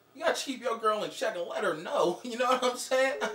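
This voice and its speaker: Audible room echo surrounds a man speaking at a fairly quick pace. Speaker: skit actor on a phone call. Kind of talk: comedic acted phone conversation. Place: home room.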